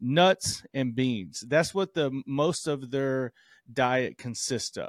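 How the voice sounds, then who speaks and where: Speaking fairly slowly in an American accent, a man uses a normal speaking voice that sits fairly high, with lively intonation, on a very clean recording with a silent background and a dry, close sound with no echo. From US South. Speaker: doctor and podcast co-host. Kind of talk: casual chat.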